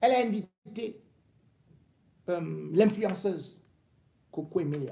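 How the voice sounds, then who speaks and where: A man speaks at a very slow pace. He leaves long, frequent pauses. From Cameroon. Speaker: political commentator. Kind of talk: angry rant, accusatory political tirade. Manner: indignant, scolding, hammering commands at the target; emphatic, repeating words for stress. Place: home room. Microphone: phone near.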